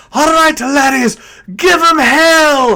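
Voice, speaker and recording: A high-pitched, put-on character voice is performed here. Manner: rallying, battle cry.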